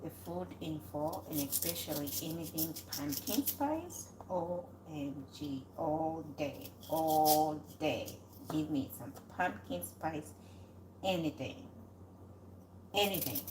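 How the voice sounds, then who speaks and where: In a room with audible echo, a woman mumbles at a very slow pace with long, frequent pauses, her very deep, low voice carrying vocal fry and very wide pitch swings. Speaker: cooking channel host. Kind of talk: casual live cooking chat. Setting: home kitchen. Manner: mumbling.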